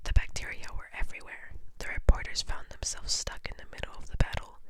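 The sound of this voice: Fairly quick whispering from a woman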